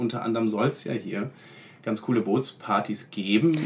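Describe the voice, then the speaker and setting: A man speaks at medium pitch and a moderate pace. Noticeable background noise is present. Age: 20s. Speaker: law student. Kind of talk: casual interview.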